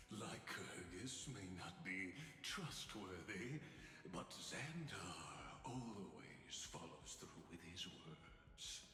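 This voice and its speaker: A man's put-on character voice, very deep and low, theatrical in tone and very slow, with clear echo and clear background noise. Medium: video game. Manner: grand, measured, theatrical.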